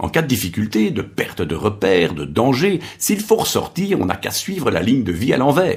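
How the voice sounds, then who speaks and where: Moving at a moderate pace with hardly any pauses, a man speaks in a medium pitch with vocal fry. His pitch swings very widely. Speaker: professional voice-over artist. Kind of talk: narrated podcast storytelling.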